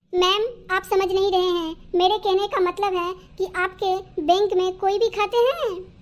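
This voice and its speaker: This cartoonish character voice sits at an extremely high pitch and barely stops, with hardly any pauses. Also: moderate pace. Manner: formal, polite.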